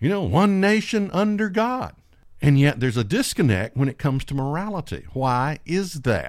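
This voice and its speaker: Over a silent background in a very clean recording, a man talks at a fairly slow pace with very wide pitch swings. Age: 50s. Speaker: preacher. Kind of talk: sermon.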